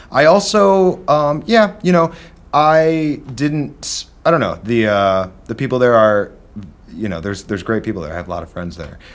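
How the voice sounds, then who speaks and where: A man's voice swings very widely in pitch and shifts greatly in loudness. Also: fairly high pitch for a man, moderate pace. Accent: slight Midwestern. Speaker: drummer and studio owner. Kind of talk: casual chat.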